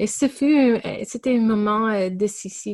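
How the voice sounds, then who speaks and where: A woman at a very slow pace, in a very clean recording with a silent background. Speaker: pastor. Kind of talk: interview. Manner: halting.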